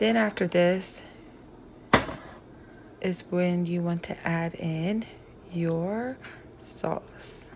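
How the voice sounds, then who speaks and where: A woman talks at a very slow pace with fairly even intonation. Noticeable background noise is present. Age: 60s. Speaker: home cook. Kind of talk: cooking tutorial.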